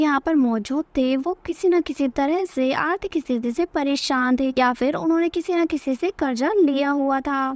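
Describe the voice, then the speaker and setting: A woman's high-pitched voice at a moderate pace, with ordinary pitch variation and a dry, close sound with no echo. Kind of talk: movie recap narration. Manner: storytelling, conversational.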